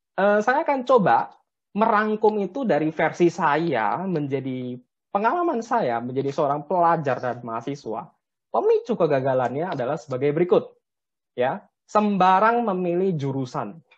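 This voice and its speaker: With very wide pitch swings, a man speaks in a high pitch at a moderate pace. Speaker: civil engineer; webinar presenter. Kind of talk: webinar presentation. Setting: video call. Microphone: webcam.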